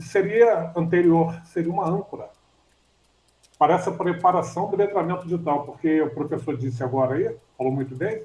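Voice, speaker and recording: The voice is a man's, high in pitch, with ordinary pitch variation. His tone is dark and mellow. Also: moderate pace. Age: 60s. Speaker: student in an online class. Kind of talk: class discussion. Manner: halting.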